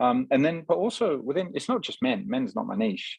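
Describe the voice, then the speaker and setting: A man with an English accent at a moderate pace, in a dry, close sound with no echo. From England. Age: 30s. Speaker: fitness coach. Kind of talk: podcast interview. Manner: halting.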